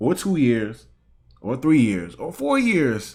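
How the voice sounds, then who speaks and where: Here a man has a plain, everyday voice at a medium pitch, speaking at a fairly slow pace. The recording is very clean, with a silent background. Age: 20s. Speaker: YouTube reaction streamer. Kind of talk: casual reaction commentary.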